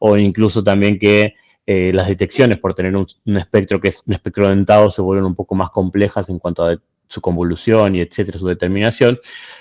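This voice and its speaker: With a slight Argentine accent, a man talks at a moderate pace in a fairly low, flat monotone, the sound dry and close with no echo. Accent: slightly Argentine. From Argentina, Buenos Aires. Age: young. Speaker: physicist, invited speaker. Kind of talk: Q&A after a lecture. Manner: halting, many fillers.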